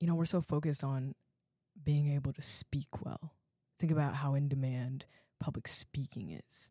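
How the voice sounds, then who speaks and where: A woman with an American accent speaks at a very deep, low pitch, somewhat breathy, with a dark, mellow tone and fairly even intonation at a moderate pace. Long, frequent pauses come through on a very clean recording with a silent background and a dry, close sound with no echo. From US, Virginia (Alexandria). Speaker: podcast host, university student. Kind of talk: solo educational podcast talk. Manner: casual, conversational.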